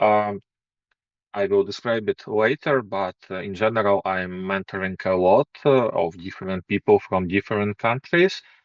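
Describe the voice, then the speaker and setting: A man with a non-native accent, fairly low in pitch, at a moderate pace with ordinary pitch variation. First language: not English. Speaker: programming course instructor. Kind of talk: course intro presentation. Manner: hesitant, many fillers.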